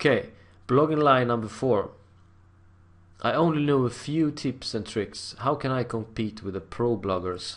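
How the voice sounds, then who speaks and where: Medium in pitch, a man speaks at a fairly slow pace with a non-native accent. His pitch variation is ordinary, and long, frequent pauses recur. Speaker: internet marketer. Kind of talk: tutorial. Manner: halting, with repetitions.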